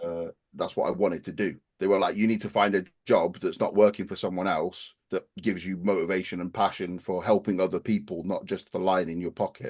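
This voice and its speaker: Against a quiet background, a man talks at a fairly quick pace in a very deep, low, flat monotone. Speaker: personal trainer and bodybuilder. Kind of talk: interview. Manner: assertive, definitive.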